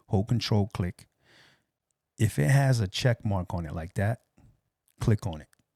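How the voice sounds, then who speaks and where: On a very clean recording with a silent background, dry and close with no echo, a man speaks quietly and fairly slowly with long, frequent pauses, his fairly low voice dark and mellow with ordinary pitch variation. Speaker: audio production tutor. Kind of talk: tutorial. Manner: speaking low, quiet.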